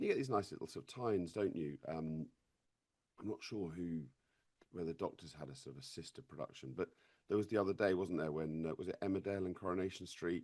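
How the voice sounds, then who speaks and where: In an RP accent, a man speaks at a very fast pace. His pitch is very deep and low. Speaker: actor. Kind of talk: interview. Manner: halting, with frequent repetitions.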